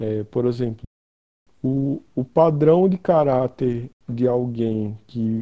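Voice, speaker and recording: This is a man talking. His intonation is lively. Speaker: freelance designer. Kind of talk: casual chat. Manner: slow; pauses often.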